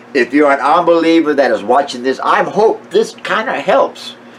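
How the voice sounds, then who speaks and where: A man speaks at a fairly slow pace. Background noise is noticeable throughout. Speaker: amateur Bible teacher. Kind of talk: casual monologue. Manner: halting, many fillers.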